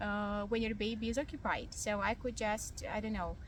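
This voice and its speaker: The speech moves at a fairly slow pace with audible room echo. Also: woman. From Ukraine. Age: young. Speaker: vlogger. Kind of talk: casual vlog monologue. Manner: hesitant, many fillers.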